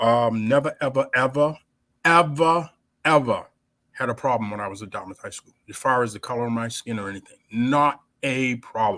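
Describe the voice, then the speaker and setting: Speaking with an American accent, a man with a medium pitch and bright, sharp tone moves at a moderate pace with ordinary pitch variation on a very clean recording with a silent background. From New Bedford, Massachusetts, US. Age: 70s. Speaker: founder of a basketball league. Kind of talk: casual interview.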